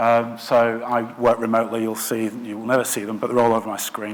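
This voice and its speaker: A man speaks with a Lancashire accent at a fairly quick pace. Noticeable background noise runs under the recording. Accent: northern English (Lancashire). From northwest England, Blackburn. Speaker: product design director. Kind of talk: conference talk. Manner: hesitant, many filler words.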